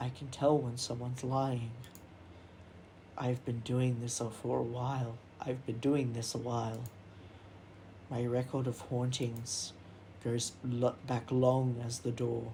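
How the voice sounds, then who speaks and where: A put-on character voice, creaky and low-to-middle in pitch, with monotone, flat intonation at a fairly slow pace. Long, frequent pauses break it up over clear background noise. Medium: game stream. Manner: boastful, old-fashioned.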